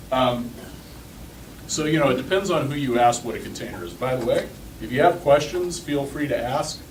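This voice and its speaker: A man speaks fairly quickly at a fairly high pitch with ordinary pitch variation and long, frequent pauses, amid noticeable background noise and audible room echo. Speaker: conference speaker, open source community manager. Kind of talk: tech talk to a user group. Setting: stage with live audience. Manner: fast; casual, with filler words.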